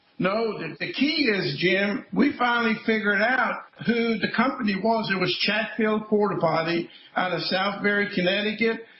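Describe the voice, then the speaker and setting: A man speaks at a moderate pace in a high pitch with ordinary pitch variation, with noticeable background noise behind him. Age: 70s. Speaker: former state trooper and school safety activist. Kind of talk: interview. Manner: animated.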